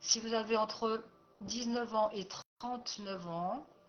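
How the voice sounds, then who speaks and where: Against noticeable background noise, a woman speaks at a very slow pace and fairly high pitch, with ordinary pitch variation. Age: 60s. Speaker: life coach and therapist. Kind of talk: personal presentation video. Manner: hesitant, many fillers.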